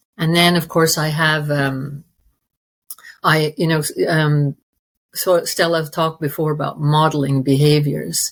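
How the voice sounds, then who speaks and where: A woman speaks at a very deep, low pitch. Her voice is somewhat breathy. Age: 60s. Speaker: interview guest sharing recovery story. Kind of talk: personal testimony in interview. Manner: halting, many fillers and restarts.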